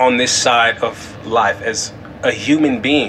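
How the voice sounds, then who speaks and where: Noticeable background noise surrounds the speaker. He is a man with an American accent. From California. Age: 20s. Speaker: podcast host. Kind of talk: faith-based solo monologue.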